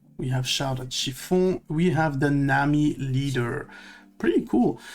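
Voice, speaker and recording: A man's fairly high voice in a non-native accent, with ordinary pitch variation and a fairly slow pace. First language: not English. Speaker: card opening video creator. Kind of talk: card pack opening commentary. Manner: hesitant, many fillers. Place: home room.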